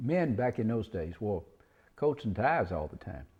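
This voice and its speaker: The voice has a dark, mellow tone and comes in a Mississippi Delta accent. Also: man. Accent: Southern US (Mississippi Delta). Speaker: cotton farmer. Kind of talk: oral history interview. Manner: halting, many fillers and restarts.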